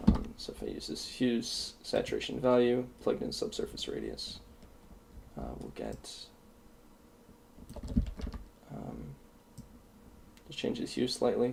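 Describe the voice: Speaking slowly with long, frequent pauses, a man at a medium pitch shows vocal fry, a slightly mellow tone and big pitch swings, with audible room echo around him.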